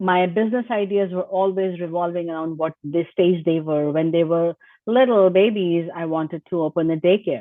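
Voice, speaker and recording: A woman's fairly low voice at a moderate pace, with ordinary pitch variation and hardly any pauses. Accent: Indian. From India. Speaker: IT business owner. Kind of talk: interview.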